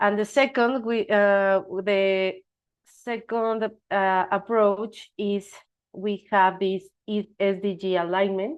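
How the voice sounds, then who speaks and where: Against a quiet background, a woman with a non-native accent speaks very slowly at a medium pitch, her intonation fairly even. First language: not English. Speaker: presenter at evaluation webinar. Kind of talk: presentation. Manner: halting, many fillers and restarts.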